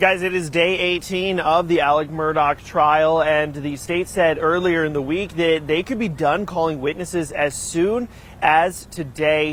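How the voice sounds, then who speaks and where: Over noticeable background noise, a man with a fairly high pitch speaks fairly slowly, with fairly even intonation and hardly any pauses. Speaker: TV news reporter and anchor. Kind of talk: TV news live shot.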